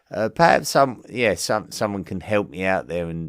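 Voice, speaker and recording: A man with an Essex accent speaks in a very deep, low pitch. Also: very clean recording, silent background. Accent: Essex accent, toned down when broadcasting. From England, Essex. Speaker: history podcast host. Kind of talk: podcast listener mail segment. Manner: hesitant, many fillers and repetitions.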